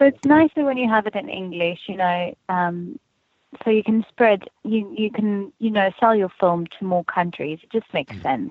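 Using a South African accent, a woman at medium pitch speaks at a moderate pace with lively intonation and big swings in loudness. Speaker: actress. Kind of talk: casual interview.

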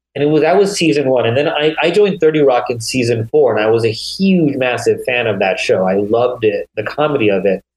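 This man has a normal speaking voice, pitched in the medium range. He talks at a fairly quick pace with lively intonation. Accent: American. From US Northeast (small-town Pennsylvania, New York border). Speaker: TV comedy writer and producer. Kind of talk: casual chat.

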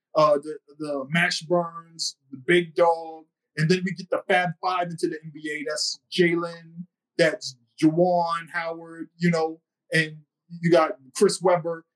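A man with an American accent speaks at a very slow pace in a high, monotone, flat voice, his loudness swinging widely. The sound is dry and close, with no echo. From Boston. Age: 40s. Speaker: author and historian. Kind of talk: podcast interview.

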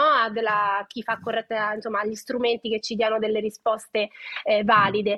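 The woman's pace is fairly quick. Her pitch sits fairly high. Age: 30s. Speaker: nutrition educator. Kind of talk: casual chat. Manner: animated.

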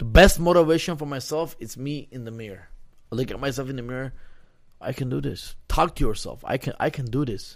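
Very clean with a silent background, the recording holds an unremarkable speaking voice at a fairly quick pace, with ordinary pitch variation and big swings in loudness. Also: man, medium pitch for a man. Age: 30s. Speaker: retired MMA fighter. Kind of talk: casual interview.

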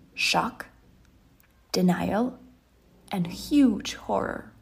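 A somewhat breathy female voice. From Ukraine. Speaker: leadership coach. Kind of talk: personal testimony in a scripted micro podcast.

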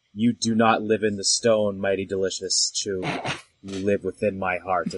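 A man puts on a character voice at a fairly low pitch, with monotone, flat intonation at a moderate pace. The sound is dry and close, with no echo. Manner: audible to all.

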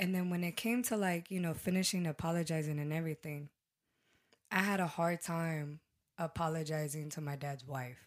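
A woman speaks at a fairly low pitch with ordinary pitch variation. Hers is an unremarkable speaking voice, at a moderate pace. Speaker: podcast guest. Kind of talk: casual chat.

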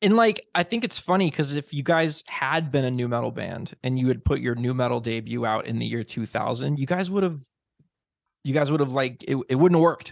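A man with an American accent talks at a fairly quick pace with lively intonation, his pitch medium. He has a plain, everyday voice, and the background is quiet. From US Midwest, Illinois. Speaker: podcast host. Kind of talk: casual interview. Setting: remote call.

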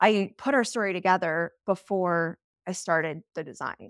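On a very clean recording with a silent background and a dry, close sound with no echo, a woman with a General American accent speaks at a moderate pace in a plain, everyday voice, fairly low in pitch with fairly even intonation. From US, Colorado (Steamboat Springs). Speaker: interior designer. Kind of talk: interview.

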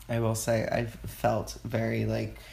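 An American accent from a man, with audible room echo. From Texas, Houston, Mexican American household. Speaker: dancer and Pilates instructor. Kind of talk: casual chat.

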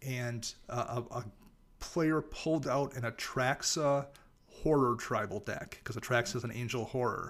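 A plain, everyday voice from a man, medium in pitch and fairly slow, with fairly even intonation. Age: 40s. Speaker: podcast co-host and writer on a card game. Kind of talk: casual chat.

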